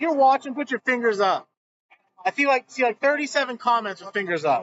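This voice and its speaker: A man talks loudly and fairly quickly with lively intonation. His pitch is extremely high. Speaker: bowling stream commentator. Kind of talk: live commentary.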